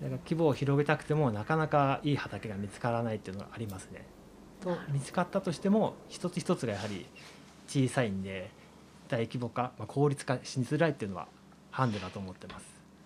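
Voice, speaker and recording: Pitch swings very widely as a man speaks at a fairly quick pace. His medium-pitched voice is somewhat breathy. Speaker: farmer. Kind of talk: interview. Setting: on location at a farm.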